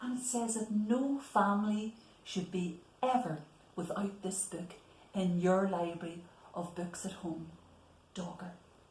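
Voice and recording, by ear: A woman speaks with a slightly mellow tone and fairly even intonation. Audible room echo surrounds her voice. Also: medium pitch for a woman, fairly slow pace.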